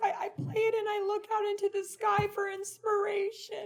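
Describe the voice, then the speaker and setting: A put-on character voice, female-sounding, extremely high-pitched for a woman, at a moderate pace. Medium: stage play. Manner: halting, stammering.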